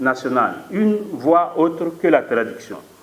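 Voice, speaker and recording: Amid noticeable background noise and audible room echo, a man with a fairly high pitch talks at a very slow pace. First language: Mooré (speaking French). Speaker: philosophy professor. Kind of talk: conference talk. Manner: formal; hesitant with fillers.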